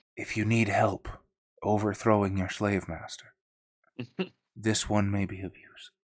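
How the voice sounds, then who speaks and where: A man puts on a croaky character voice, fairly low in pitch. He goes at a moderate pace with long, frequent pauses. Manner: conspiratorial, leaning in.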